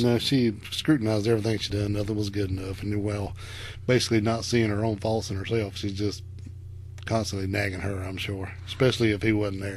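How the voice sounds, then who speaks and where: A man with a rural Southern US accent talks at a fairly quick pace in a flat monotone, sounding somewhat breathy. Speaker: podcast co-host. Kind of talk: casual podcast conversation.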